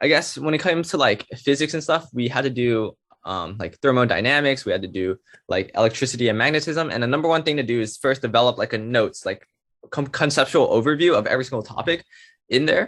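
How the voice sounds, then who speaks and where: Here a man talks at a very fast pace. His pitch sits in the medium range. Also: ordinary pitch variation. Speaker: computer science student. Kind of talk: casual presentation.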